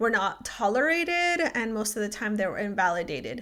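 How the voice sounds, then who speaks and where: A woman with a Spanish accent speaks at a moderate pace, her fairly high voice bright and sharp. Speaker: podcast host. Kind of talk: personal reflective monologue. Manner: many fillers, um and like.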